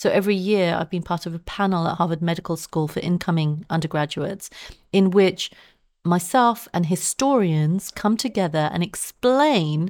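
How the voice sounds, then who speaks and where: A woman with a southern English accent, fairly low in pitch, at a moderate pace, in a very clean recording with a silent background. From Southeast London. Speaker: science journalist and author. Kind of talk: interview.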